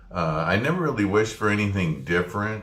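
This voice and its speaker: In an American accent, a man speaks with a bright, sharp tone, vocal fry and ordinary pitch variation, and the room echo is audible. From US Midwest. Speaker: former printing press operator, student. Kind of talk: spoken class assignment reflection. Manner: hesitant with frequent fillers.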